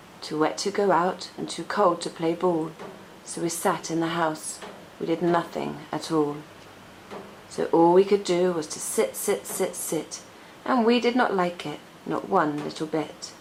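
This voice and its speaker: A woman with an English accent at a fairly slow pace amid noticeable background noise. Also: fairly low pitch for a woman, ordinary pitch variation. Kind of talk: children's picture-book read-aloud.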